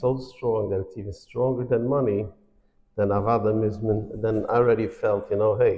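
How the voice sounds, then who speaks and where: Somewhat breathy man of medium pitch, fairly even intonation and moderate pace, with audible room echo. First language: Yiddish. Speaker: financial awareness speaker. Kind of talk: lecture. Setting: synagogue hall with audience.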